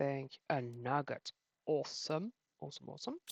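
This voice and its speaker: Mumbling speech comes through with a dry, close sound and no echo. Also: woman. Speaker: gaming youtuber. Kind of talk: gameplay commentary. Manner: animated.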